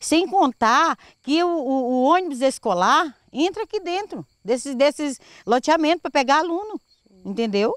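Her pitch is high and swings very widely. The woman speaks at a fairly slow pace, with a dry, close sound with no echo. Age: 60s. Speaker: local resident. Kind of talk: interview.

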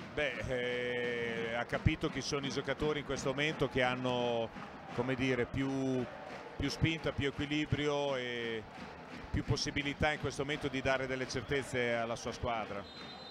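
Monotone, flat male speech at a medium pitch and moderate pace. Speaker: basketball coach, expert co-commentator. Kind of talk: live sports commentary, calm tactical analysis of the game. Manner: measured, analytical, conversational.

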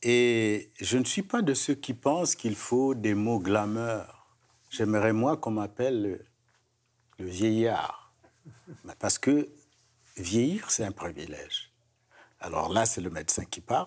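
Very slow male speech with lively intonation and long, frequent pauses. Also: medium pitch for a man. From another culture, outside Quebec. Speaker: gerontologist; guest. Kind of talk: panel discussion. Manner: repeats words, stammering. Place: studio. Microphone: lapel.

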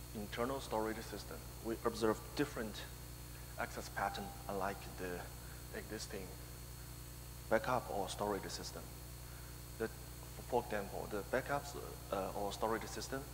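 A man's very deep, low voice at a moderate pace with long, frequent pauses, over noticeable background noise. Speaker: conference presenter. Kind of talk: technical conference talk. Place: hall.

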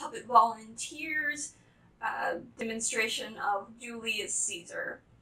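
A woman with a high pitch and a bright, sharp tone speaks at a very slow pace amid audible room echo. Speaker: volunteer host of a puppet production. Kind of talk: casual video announcement.

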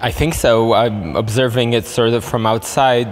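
The delivery is monotone and flat at a moderate pace. Light background noise sits behind it. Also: man. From Poland. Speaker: NGO director. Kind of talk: interview. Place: hall.

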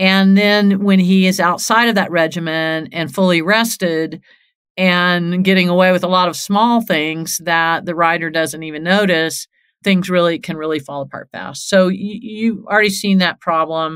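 A woman with a normal speaking voice talks at a moderate pace with a fairly low pitch and fairly even intonation in a very clean recording with a silent background. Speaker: horse trainer and podcast host. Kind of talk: podcast monologue with listener Q&A. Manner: conversational, uses fillers.

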